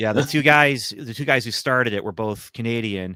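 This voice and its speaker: The tone is bright and sharp, with ordinary pitch variation. The sound is dry and close, with no echo. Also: man, very clean recording, silent background. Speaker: comic writer and podcaster. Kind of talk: casual chat. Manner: animated, talks with hands.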